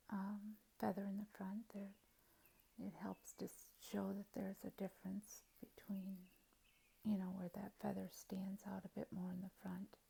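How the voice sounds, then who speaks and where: A woman speaks at a medium pitch and a fairly slow pace. Her tone is dark and mellow, and somewhat breathy. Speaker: painting tutorial host. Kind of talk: tutorial. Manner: halting.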